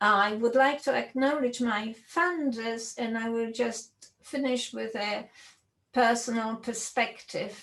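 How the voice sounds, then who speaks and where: A woman speaks in a Polish accent at a very slow pace. Her pitch is fairly high, and her intonation fairly even. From Poland. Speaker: computer science professor. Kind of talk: lecture.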